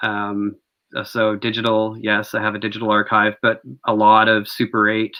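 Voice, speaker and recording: Speaking at a moderate pace, a man holds a fairly low pitch with monotone, flat intonation. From Canada. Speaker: experimental filmmaker. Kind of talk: panel discussion. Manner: halting.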